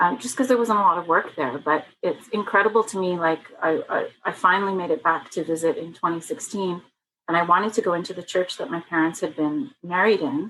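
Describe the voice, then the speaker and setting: A woman with a Canadian accent, medium pitch, ordinary pitch variation and a fairly quick pace. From Canada, child of Italian immigrants. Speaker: author. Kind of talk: interview. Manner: animated, with frequent fillers and restarts.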